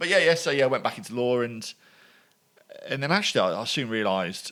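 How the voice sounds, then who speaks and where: Speaking at a very fast pace with a Birmingham accent, a man with a medium pitch and a bright, sharp tone makes very wide pitch swings. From England, Birmingham. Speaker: former lawyer and entrepreneur. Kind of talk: podcast interview. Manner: halting.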